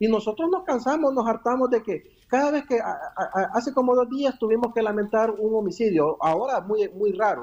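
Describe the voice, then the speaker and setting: At a moderate pace, a man talks in a high pitch. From El Salvador. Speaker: politician. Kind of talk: radio interview.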